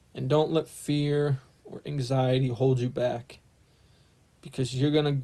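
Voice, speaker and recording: The speech comes at a fairly slow pace in a monotone, flat intonation, with long, frequent pauses. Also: man, medium pitch for a man. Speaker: spiritual vlogger. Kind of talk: casual monologue vlog. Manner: halting, repeated words.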